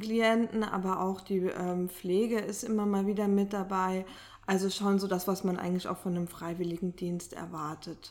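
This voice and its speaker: A woman speaks at a medium pitch in a monotone. Her pace is moderate and her intonation stays flat. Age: 30s. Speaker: social sector statistics staff member. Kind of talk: interview. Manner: hesitant with filler sounds.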